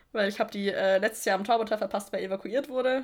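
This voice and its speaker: A woman with a normal speaking voice and fairly even intonation. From Middle Franconia, Germany. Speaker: music podcast co-host, student. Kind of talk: casual chat.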